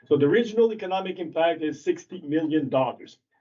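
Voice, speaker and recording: A man in a French accent at a fairly quick pace, with ordinary pitch variation. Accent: French accent, noticeable. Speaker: ATV club representative. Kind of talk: presentation to town council. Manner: halting.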